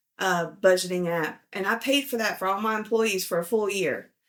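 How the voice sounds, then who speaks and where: On a very clean recording with a silent background, a woman with a Southern US accent speaks with fairly even intonation. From US South. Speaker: financial video host, power engineer. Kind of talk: casual vlog commentary. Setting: at home with a dog.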